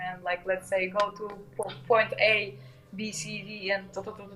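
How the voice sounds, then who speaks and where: Flat, monotone speech in a Russian accent at a moderate pace, over noticeable background noise. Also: woman. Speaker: modular musician and educator. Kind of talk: casual interview chat. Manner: halting, many fillers.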